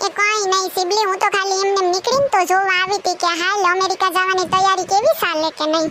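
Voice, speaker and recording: In a cartoonish character voice, a woman talks at an extremely high pitch and a moderate pace, her loudness very even and her intonation fairly even, over loud background noise. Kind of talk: comic village banter. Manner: teasing, know-it-all.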